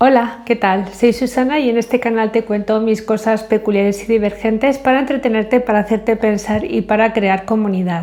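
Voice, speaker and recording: A woman's fairly high voice, fairly even in intonation and very even in loudness, at a moderate pace with hardly any pauses over noticeable background noise. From Spain. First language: English (speaking Spanish). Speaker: vlogger. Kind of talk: casual vlog monologue. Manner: hesitant, many fillers.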